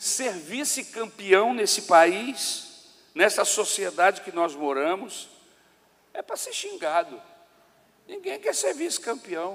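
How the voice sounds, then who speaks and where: Speaking at a very slow pace with long, frequent pauses, a man uses a high pitch, lively intonation and big swings in loudness. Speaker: pastor. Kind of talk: sermon. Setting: church.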